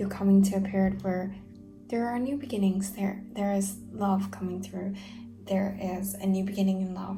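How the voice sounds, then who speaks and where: The voice is quiet at a moderate pace, with music in the background. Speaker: tarot reader. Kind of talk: tarot reading monologue. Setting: at home late at night. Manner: lowered voice, quiet; hesitant, many fillers.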